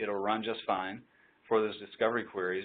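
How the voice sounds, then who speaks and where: Talking very fast, a man keeps his pitch fairly low. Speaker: tech company presenter. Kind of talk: webinar presentation.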